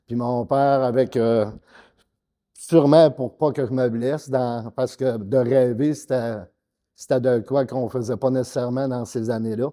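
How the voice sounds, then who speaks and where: Speaking with a Quebec accent at a fairly slow pace, a man with a medium pitch and a dark, mellow tone keeps his intonation fairly even while his loudness swings widely. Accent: Québécois French. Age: 60s. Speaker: bodybuilder. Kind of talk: interview. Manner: hesitant, many fillers.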